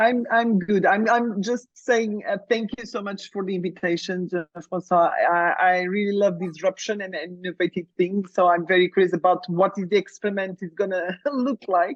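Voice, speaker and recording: A woman speaks at a moderate pace in a medium-pitched voice with fairly even intonation and hardly any pauses. The sound is dry and close, with no echo. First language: Portuguese. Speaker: coach. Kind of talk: coaching session.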